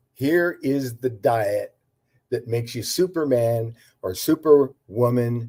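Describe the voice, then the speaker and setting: A man's dark, mellow voice at a very slow pace, with ordinary pitch variation. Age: 80s+. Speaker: herbal health practitioner. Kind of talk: interview. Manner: halting, many fillers and repetitions.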